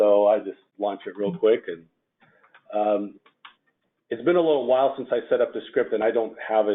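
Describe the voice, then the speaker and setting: A man with a Russian accent at a fairly quick pace. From former Soviet Union, Russian-speaking. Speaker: FileMaker developer presenting at user group. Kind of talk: technical presentation. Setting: user group meeting with audience. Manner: casual, with fillers and hesitations.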